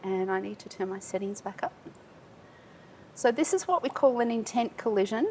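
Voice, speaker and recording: Speaking with an Australian accent at a fairly high pitch, a woman uses lively intonation, long and frequent pauses, and big swings in loudness against noticeable background noise. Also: moderate pace. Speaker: tech industry speaker. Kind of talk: conference talk. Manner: animated.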